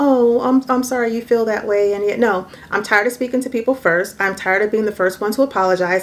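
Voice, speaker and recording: A soft-spoken woman with a fairly high pitch at a fairly quick pace. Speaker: vlogger, mother. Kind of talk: casual vlog monologue.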